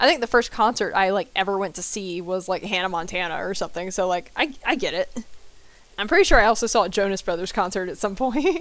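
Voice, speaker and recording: An American-accented woman talks at a very fast pace. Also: medium pitch for a woman, ordinary pitch variation. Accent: southern US accent comes out when stressed. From US South. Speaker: video game streamer. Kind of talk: live gameplay stream chatting with viewers. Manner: casual, chatty.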